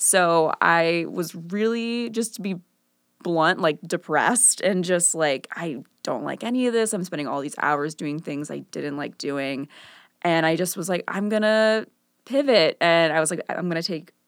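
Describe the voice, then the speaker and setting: A woman with an American accent speaks at a fairly slow pace in a fairly low voice with lively intonation. It is a normal speaking voice on a very clean recording with a silent background. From US Midwest, Chicago northern suburbs. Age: 20s. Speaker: visual artist. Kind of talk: casual interview chat.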